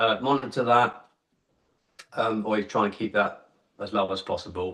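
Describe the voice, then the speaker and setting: With an English accent, a man speaks at a moderate pace in a fairly low voice, his tone bright and sharp and his intonation fairly even. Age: 50s. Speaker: kettlebell athlete. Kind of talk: casual interview.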